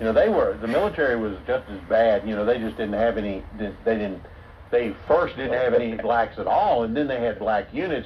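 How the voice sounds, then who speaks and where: A man speaks at a medium pitch and a moderate pace, with ordinary pitch variation. Noticeable background noise sits behind him. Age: 70s. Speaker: channel host. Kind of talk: casual chat.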